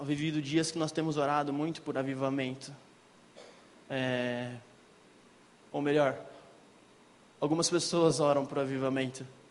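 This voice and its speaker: A man's fairly high-pitched voice, monotone and flat, at a fairly slow pace with long, frequent pauses and audible room echo. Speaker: lay preacher. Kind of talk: sermon. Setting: church.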